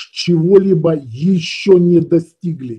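The voice has a dark, mellow tone and ordinary pitch variation, moving at a very slow pace over a quiet background. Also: man. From Odesa, Ukraine; Ukraine. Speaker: esoteric teacher and webinar leader; esoteric teacher. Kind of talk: webinar lecture. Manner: conversational, explanatory, somewhat halting with fillers. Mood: calm, persuasive. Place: home room. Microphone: webcam.

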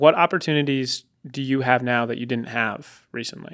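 A man's bright, sharp tone with fairly even intonation over a quiet background. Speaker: producer and podcast co-host; podcast co-host. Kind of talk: casual chat. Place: studio. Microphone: studio mic.

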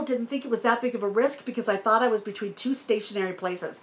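The woman talks at a very fast pace. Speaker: RV vlogger. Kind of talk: casual vlog Q&A storytelling. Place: home room.

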